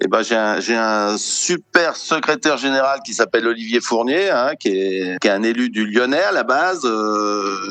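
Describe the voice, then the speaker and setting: Over noticeable background noise, a man at a medium pitch talks fairly slowly with lively intonation and hardly any pauses. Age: 60s. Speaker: sports federation president, retired plumber. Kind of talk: interview. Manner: halting, many repetitions and fillers.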